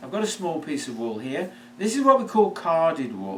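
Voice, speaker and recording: Audible room echo and noticeable background noise fill the clip. A man with a British accent speaks at a moderate pace. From United Kingdom. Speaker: product maker and seller. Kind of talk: product presentation. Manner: hesitant, with fillers.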